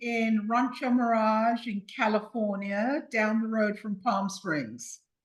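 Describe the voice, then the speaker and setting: A woman speaks very slowly with a South London accent. Her voice is somewhat breathy and fairly high. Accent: British (South London). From South London, England (Croydon). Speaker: podcast guest. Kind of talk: interview conversation.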